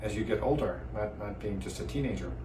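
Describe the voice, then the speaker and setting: Noticeable background noise and audible room echo around a man's fairly quick speech. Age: 60s. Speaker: vascular surgeon. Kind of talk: personal testimony. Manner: hesitant with fillers and repeats.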